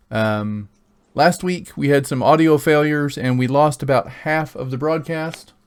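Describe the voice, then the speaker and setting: Speaking at a fairly slow pace, a man with a fairly high voice talks with an American accent. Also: ordinary pitch variation. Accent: slight Oklahoma accent, rarely used. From Oklahoma. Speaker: game master. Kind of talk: tabletop roleplay session. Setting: live stream.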